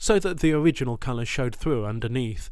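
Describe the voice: The text is read aloud plainly. Nothing more goes into the delivery.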